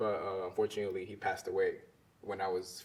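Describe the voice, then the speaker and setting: With a Spanish accent, a man talks at a very fast pace. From Honduras, raised in Maryland from age eight. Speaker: visual artist. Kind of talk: interview.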